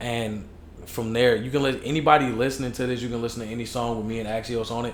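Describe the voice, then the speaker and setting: A man with a Chicago accent talks very fast at a medium pitch, his intonation monotone and flat, with audible room echo. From Chicago, US. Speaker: hip hop artist. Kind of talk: casual chat. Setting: podcast interview.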